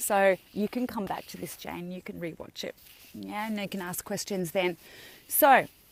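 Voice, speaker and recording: A woman speaks with an Australian accent. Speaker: health and wellness coach. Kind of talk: live video talk to viewers. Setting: outdoors on a beach.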